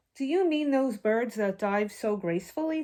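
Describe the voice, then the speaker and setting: A woman puts on a character voice pitched fairly high. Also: moderate pace. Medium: read story.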